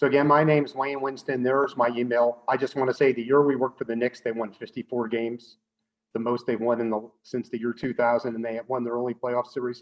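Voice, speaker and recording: A man talks at a very fast pace with a medium pitch. His intonation is monotone and flat. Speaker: professor. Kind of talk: lecture.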